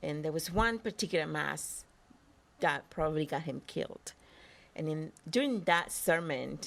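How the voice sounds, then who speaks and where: A woman's very deep, low voice with vocal fry, a Spanish accent, ordinary pitch variation and a moderate pace. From El Salvador. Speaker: actress. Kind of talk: interview.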